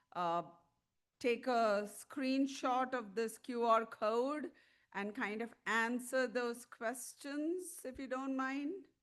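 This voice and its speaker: Loud and high-pitched, a woman speaks at a very slow pace with ordinary pitch variation against a quiet background. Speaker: tobacco treatment clinician, conference speaker. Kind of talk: conference presentation. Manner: animated.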